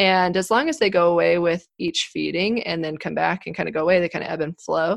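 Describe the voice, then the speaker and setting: A woman with an American accent and vocal fry at a fairly quick pace, in a very clean recording with a silent background. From Colorado, US. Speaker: obstetrician-gynecologist. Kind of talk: podcast interview, medical explanation.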